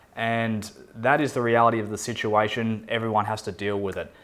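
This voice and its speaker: A man with an Australian accent, medium pitch, moderate pace, on a very clean recording with a silent background. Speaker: expat relocation adviser. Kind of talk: talking-head explainer video.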